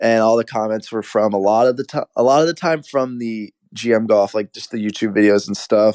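A plain, everyday voice at a fairly quick pace with hardly any pauses and ordinary pitch variation, dry and close with no echo against a quiet background. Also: man, medium pitch for a man. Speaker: college golfer and golf content creator. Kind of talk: casual interview.

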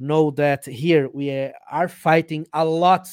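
Someone with a Brazilian accent speaks at a very slow pace, with a dry, close sound and no echo. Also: man. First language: Portuguese. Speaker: journalist and vaping advocate. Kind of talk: casual interview. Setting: video call. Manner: halting.

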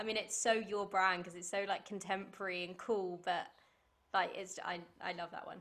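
A woman with a British accent speaks at a fairly quick pace in a medium pitch, her loudness swinging widely. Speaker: podcast host. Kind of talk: casual chat. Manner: animated.

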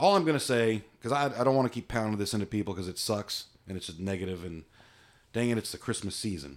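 A man talks in an ordinary speaking voice. His pitch sits fairly low. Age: 50s. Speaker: podcast host. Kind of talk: casual chat.

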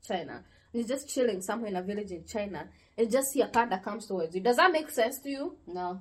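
Very fast and animated, a woman talks at a fairly high pitch with lively intonation and a somewhat breathy voice. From Africa. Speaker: podcast host. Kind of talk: casual chat.

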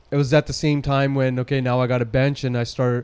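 This man speaks at a medium pitch with a Western Canadian accent. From Surrey, British Columbia, Canada. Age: 30s. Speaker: fitness trainer and gym owner. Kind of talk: casual interview.

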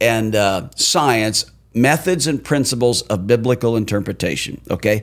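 A man with a plain, everyday voice speaks at medium pitch and a fairly slow pace, his intonation lively. The recording is very clean, with a silent background. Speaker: pastor. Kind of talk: casual podcast discussion about Bible study. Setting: small studio room.

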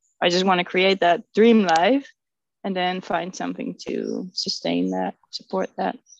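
A woman with a Dutch accent speaks at a moderate pace in a medium pitch, the sound dry and close with no echo. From Netherlands. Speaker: resin artist. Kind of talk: casual chat.

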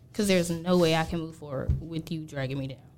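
Speaking with a Georgia accent, a woman with a fairly low pitch is heard over audible room echo. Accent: Southern US, Georgia. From US South, Gainesville, Georgia. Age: 20s. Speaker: podcast guest. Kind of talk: casual chat.

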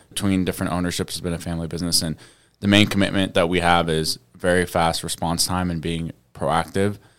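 On a very clean recording with a silent background, a man with a very deep, low pitch speaks at a very fast pace with monotone, flat intonation. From Saudi Arabia. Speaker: business owner. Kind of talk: radio interview.

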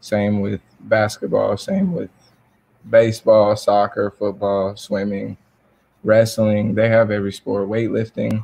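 A man with a Southern US accent speaks at a fairly slow pace and fairly low pitch. His tone is dark and mellow, with monotone, flat intonation. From US South, South Georgia. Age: 20s. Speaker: college basketball player. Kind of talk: interview.

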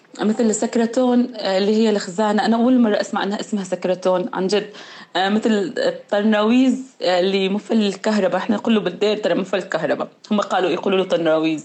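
This is a normal speaking voice at a fairly quick pace. Loudness stays very even, with ordinary pitch variation. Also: woman, medium pitch for a woman. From Syria, Mayadin countryside (Deir ez-Zor). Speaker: podcast co-host. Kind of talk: casual chat.

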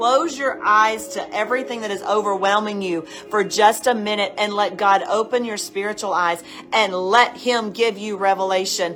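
At a fairly slow pace, a woman with a fairly high pitch speaks with ordinary pitch variation over noticeable background noise. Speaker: pastor. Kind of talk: fervent prayer; sermon-style exhortation. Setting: online video session. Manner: impassioned, urgent, exhorting.

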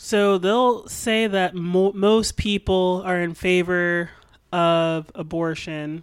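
A woman speaks at a very slow pace with a medium pitch and fairly even intonation. The recording is very clean with a silent background. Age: 20s. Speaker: podcast co-host. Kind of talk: casual chat.

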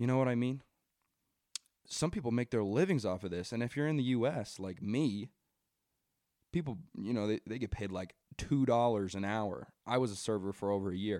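Here a man talks at a fairly quick pace, using a medium pitch and a dark, mellow tone. His pitch varies in an ordinary way, broken by long, frequent pauses. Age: 20s. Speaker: podcast host, college student. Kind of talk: casual solo commentary and rant. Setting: home basement recording. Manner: halting, many fillers.

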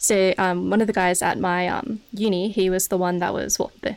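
Her intonation stays fairly even at a medium pitch for a woman. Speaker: streamer. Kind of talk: casual chat. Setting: home studio.

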